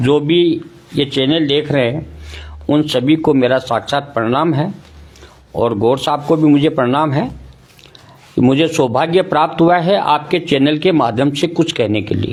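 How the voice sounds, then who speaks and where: A man with a fairly high voice talks with ordinary pitch variation over noticeable background noise. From Rajasthan, India. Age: 60s. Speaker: ayurvedic doctor. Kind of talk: interview.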